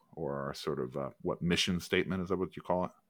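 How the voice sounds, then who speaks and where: With vocal fry in his voice, a man speaks using ordinary pitch variation. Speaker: podcast co-host. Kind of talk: casual chat.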